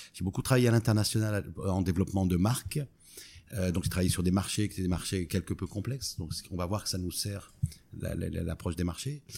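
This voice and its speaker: In a very clean recording with a silent background, a man speaks at a fairly low pitch with a dark, mellow tone. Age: 50s. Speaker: startup co-founder. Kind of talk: interview. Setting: in person at company office.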